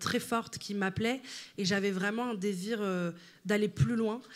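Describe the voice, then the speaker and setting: Her pitch fairly high with ordinary variation, a woman speaks at a moderate pace. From Italy. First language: Italian (speaking French). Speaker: writer and content creator. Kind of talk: interview. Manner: halting, many fillers.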